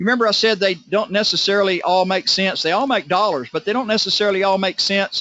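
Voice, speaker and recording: Over noticeable background noise, a man with a high pitch talks at a very fast pace with hardly any pauses and very even loudness. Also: ordinary pitch variation. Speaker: network marketing presenter. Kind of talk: sales pitch.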